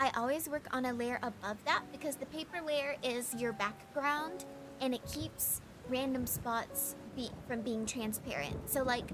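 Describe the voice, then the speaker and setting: A soft-spoken voice moves at a fairly slow pace with ordinary pitch variation, music playing in the background. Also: woman, high pitch for a woman. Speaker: vtuber streamer and digital artist. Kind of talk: casual livestream chat with painting tutorial. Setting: livestream. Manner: hesitant, with fillers and repeats.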